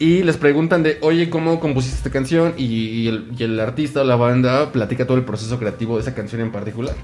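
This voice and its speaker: A man with a Mexican accent talks at a very fast pace with hardly any pauses. Noticeable background noise is present. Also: medium pitch for a man, ordinary pitch variation. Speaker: podcast host. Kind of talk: casual chat.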